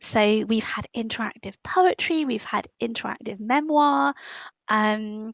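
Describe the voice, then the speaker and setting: With a British accent, a woman speaks at a fairly high pitch using lively intonation. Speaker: writer and magazine editor. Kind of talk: interview. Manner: many fillers and false starts.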